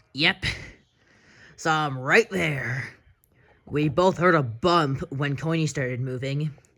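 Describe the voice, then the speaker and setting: This put-on character voice is raspy and sits at a low-to-middle pitch. It moves at a fairly slow pace with long, frequent pauses. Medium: audio drama.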